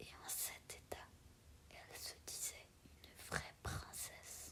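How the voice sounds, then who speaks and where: Someone is whispering. The words come out very slowly. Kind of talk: read story. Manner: whispered.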